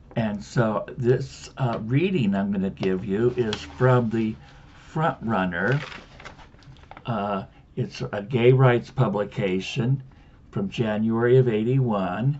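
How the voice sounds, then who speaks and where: A man of medium pitch speaks at a very slow pace over noticeable background noise. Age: 70s. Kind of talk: casual to-camera introduction; reading aloud. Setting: home video. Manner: hesitant, with filler words.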